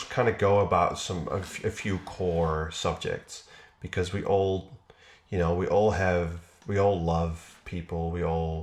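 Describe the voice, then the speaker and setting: A man speaks in a very deep, low voice with fairly even intonation. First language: not English. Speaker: video creator. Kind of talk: casual chat.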